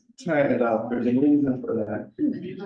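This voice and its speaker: A man keeps a moderate pace while the room echo remains audible. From Miami, Florida (arrived about age six). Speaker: education researcher. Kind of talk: seminar lecture. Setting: seminar room with in-person and online audience.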